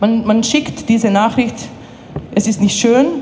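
Woman with a fairly high pitch and ordinary pitch variation, over noticeable background noise. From Bosnia. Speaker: refugee aid worker, human rights activist. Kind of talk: testimony at a tribunal. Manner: halting, with many fillers.

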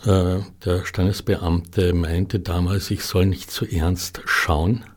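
A man speaks with a very deep, low pitch at a very slow pace. His voice is somewhat breathy, with fairly even intonation. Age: 60s. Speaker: artist. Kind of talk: interview. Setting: studio. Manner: halting.

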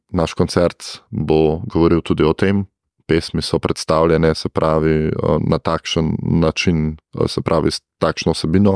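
A man's very deep, low voice in a monotone, flat delivery, with a dry, close sound and no echo. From Gorenjska, Slovenia. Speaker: choir conductor and music teacher. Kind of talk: radio interview.

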